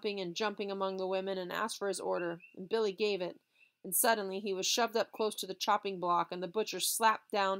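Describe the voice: The speaker does a plain reading aloud with fairly even intonation. The background is quiet.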